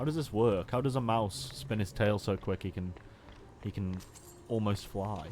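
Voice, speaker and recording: A man with a Stoke accent, at a moderate pace, with lively intonation. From Stoke-on-Trent, England. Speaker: video game streamer. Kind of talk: casual live-stream commentary while gaming.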